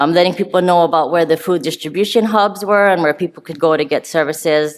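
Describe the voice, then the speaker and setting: A woman speaks very fast with a fairly low pitch and ordinary pitch variation. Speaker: public health nursing official presenting. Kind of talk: conference presentation.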